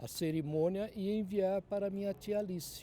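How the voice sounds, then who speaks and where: Dark and mellow in tone, a man's voice moves at a very slow pace. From Brazil, Mogi das Cruzes (São Paulo state). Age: 70s. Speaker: journalist. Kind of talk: oral history testimony.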